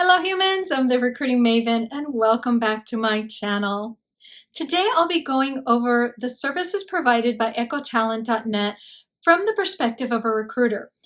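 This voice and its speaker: A woman with a high voice talks at a moderate pace with lively intonation against a quiet background. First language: Spanish. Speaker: recruiter, career advice YouTuber; channel host. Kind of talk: product review. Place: home room.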